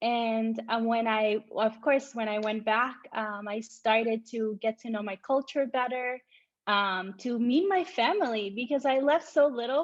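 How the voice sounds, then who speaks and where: A woman's fairly high voice, with ordinary pitch variation, at a fairly slow pace. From Costa Rica, raised in US from age 8 (Chicago, Miami, LA). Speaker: entrepreneur and English teacher. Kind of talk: casual interview chat.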